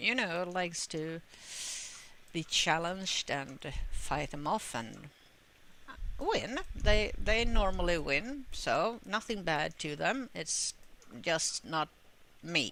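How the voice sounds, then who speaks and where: With a Swedish accent, a woman speaks at a fairly low pitch, very slowly, with very wide pitch swings, long, frequent pauses, and noticeable background noise. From Sweden. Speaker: gamer. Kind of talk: gameplay commentary. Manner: halting, many fillers.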